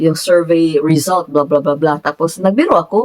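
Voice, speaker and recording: Here a woman is speaking. Her pace is moderate. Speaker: vlogger. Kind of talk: casual vlog talk. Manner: frequent laughter.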